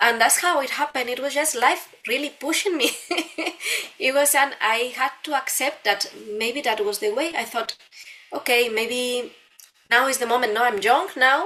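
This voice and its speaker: With a Spanish accent, a woman speaks at a moderate pace and a high pitch, with ordinary pitch variation and noticeable background noise. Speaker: dancer and dance teacher. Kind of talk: interview. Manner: halting, with repeated words.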